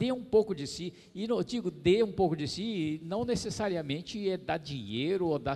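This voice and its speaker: At a moderate pace, a man uses a high, dark, mellow voice with very wide pitch swings. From Brazil, São Paulo city. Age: old. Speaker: motivational speaker on happiness; keynote speaker. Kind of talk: lecture; motivational lecture. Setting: stage with audience. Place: hall. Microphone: handheld.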